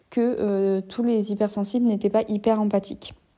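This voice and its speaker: A woman's dark, mellow tone with monotone, flat intonation, at a moderate pace, in a very clean recording with a silent background. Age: 20s. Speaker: podcaster and psychologist. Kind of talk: solo introspective monologue. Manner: halting, with frequent hesitations.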